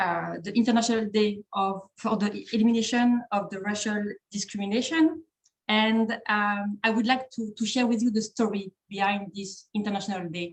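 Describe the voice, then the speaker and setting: In a French accent, a woman speaks at a moderate pace in a somewhat breathy, medium-pitched voice with fairly even intonation. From France. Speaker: trainer at an organization, webinar speaker. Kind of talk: webinar presentation. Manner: halting, many fillers and repetitions.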